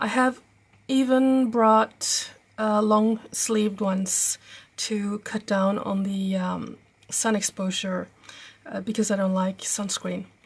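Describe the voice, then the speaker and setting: This woman's voice is fairly high and somewhat breathy, with a Norwegian accent. She speaks at a very slow pace with fairly even intonation. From Norway. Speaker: travel vlogger. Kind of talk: tutorial. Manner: halting, many fillers.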